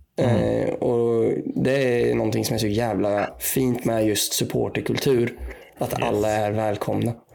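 A man speaks at a fairly slow pace with very even loudness. Noticeable background noise runs under the recording. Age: 20s. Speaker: podcast panelist, supporter. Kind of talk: casual chat.

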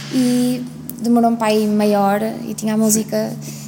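A woman's voice comes through with noticeable background noise and audible room echo. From Portugal. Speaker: singer. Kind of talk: interview. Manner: hesitant.

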